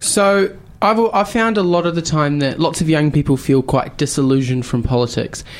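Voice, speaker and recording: A man's fairly high voice in a New Zealand accent, lively in intonation, very even in loudness, at a moderate pace. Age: young. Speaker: youth radio host. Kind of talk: radio interview.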